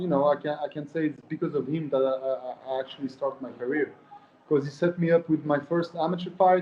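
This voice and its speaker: A Swiss French accent comes through at a moderate pace against noticeable background noise. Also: man. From Switzerland, French-speaking. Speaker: professional MMA fighter. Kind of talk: interview. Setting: at an osteopath's during treatment.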